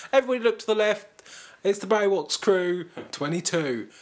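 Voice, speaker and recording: In a British accent, a man talks at a high pitch. His intonation is lively. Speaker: podcast host. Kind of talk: casual chat.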